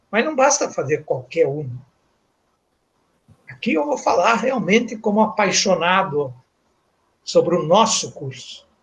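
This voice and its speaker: The pitch swings very widely. Delivery is fairly slow, with long, frequent pauses. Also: man, high pitch for a man. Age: 60s. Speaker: professor. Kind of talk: lecture. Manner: formal.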